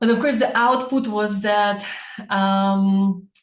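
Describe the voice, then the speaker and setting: A woman speaks with a somewhat breathy voice. Room echo is audible. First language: not English. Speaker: personal branding coach. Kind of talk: webinar.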